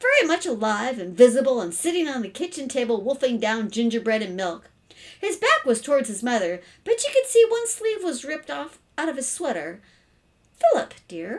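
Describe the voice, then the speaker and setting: A woman speaks at a moderate pace in a high voice, her pitch swinging very widely and her loudness shifting in big swings. The background is quiet. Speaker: storyteller reading a children's book. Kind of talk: read-aloud storytelling. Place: home room. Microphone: webcam.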